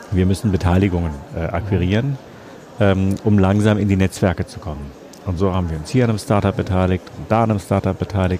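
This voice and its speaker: A man's very deep, low voice at a very fast pace, with ordinary pitch variation over noticeable background noise. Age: 50s. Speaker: publisher. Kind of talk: interview. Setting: book fair.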